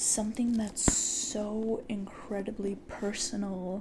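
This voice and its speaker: A man speaks softly at a high pitch. Noticeable background noise sits behind him. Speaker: ASMR creator. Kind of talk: ASMR podcast talk. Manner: soft-spoken.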